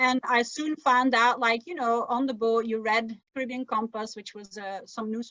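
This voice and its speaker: With a Flemish accent, a woman talks at a moderate pace in a fairly high pitch, hardly pausing at all. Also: fairly even intonation, big swings in loudness. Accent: Flemish-Belgian accent in English. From Belgium (Flemish, Dutch-speaking). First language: Dutch. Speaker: sailor and travel writer. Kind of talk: interview conversation. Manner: conversational, with false starts and fillers.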